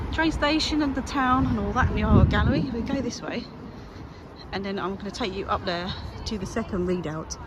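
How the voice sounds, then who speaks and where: The pace is fairly quick and the pitch swings very widely, with audible room echo and noticeable background noise. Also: woman, medium pitch for a woman. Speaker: walking vlogger. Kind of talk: walking vlog commentary. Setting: outdoors, walking by the seafront. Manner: casual, chatty.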